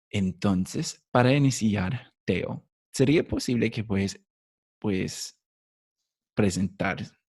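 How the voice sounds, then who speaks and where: Speaking with a non-native accent, a man leaves long, frequent pauses. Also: ordinary pitch variation. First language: English (speaking Spanish). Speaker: podcast host. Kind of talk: interview. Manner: halting.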